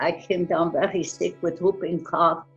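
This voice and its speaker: Faint music plays in the background behind a woman. Her pitch is fairly low, and her pace is moderate. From Austria. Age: 90s. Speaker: Holocaust survivor. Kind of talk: testimony. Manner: halting. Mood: somber, earnest. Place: home room. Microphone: webcam.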